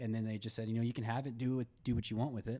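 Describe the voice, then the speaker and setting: On a very clean recording with a silent background, a man with a medium pitch speaks at a very fast pace. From Kentucky. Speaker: surfboard builder and entrepreneur. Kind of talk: podcast interview. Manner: halting.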